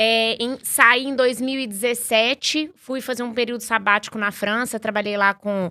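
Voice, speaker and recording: Over a very clean recording with a silent background, a woman talks at a moderate pace. Her tone is bright and sharp, and her intonation fairly even. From Minas Gerais, Brazil. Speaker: startup executive. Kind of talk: podcast interview. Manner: many filler words and restarts.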